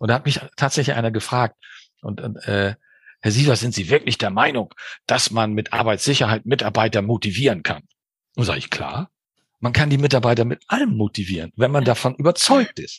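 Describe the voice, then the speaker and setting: Male speech, somewhat breathy, its pitch moving in an ordinary way. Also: medium pitch for a man, fairly quick pace, dry, close sound with no echo. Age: 60s. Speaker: business coach and mediator. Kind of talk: interview. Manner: animated.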